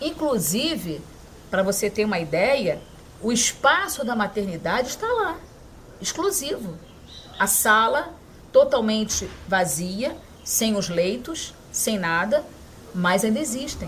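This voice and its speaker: A woman talks at a very slow pace with long, frequent pauses. Her fairly high pitch moves in very wide swings. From Aracaju, Sergipe, raised in Rio de Janeiro. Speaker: city councilwoman. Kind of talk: interview answer.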